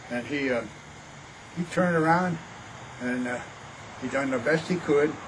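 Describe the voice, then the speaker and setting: The voice shows ordinary pitch variation. Noticeable background noise sits behind it. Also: man. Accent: American. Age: 80s+. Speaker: elderly grandfather sharing family history. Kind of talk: oral history interview. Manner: halting.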